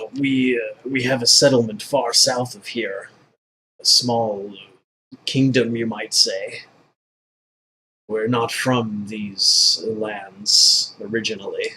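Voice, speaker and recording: A man's put-on character voice at medium pitch, very slow, with long, frequent pauses. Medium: actual play. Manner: formal, earnest.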